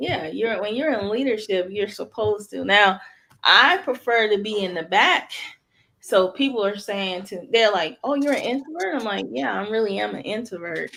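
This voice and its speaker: The voice has a bright, sharp tone with some vocal fry. Its intonation is lively. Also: woman, medium pitch for a woman. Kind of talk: casual chat. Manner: soft-spoken; slow.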